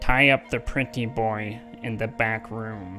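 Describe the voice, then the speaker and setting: Clear music sounds in the background. Over it, the man uses a put-on character voice. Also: medium pitch for a man, fairly slow pace. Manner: squawky, mimicking.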